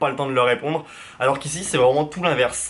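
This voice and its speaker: This man talks very fast with fairly even intonation at a medium pitch. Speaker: YouTube vlogger. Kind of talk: casual vlog monologue. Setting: facecam video.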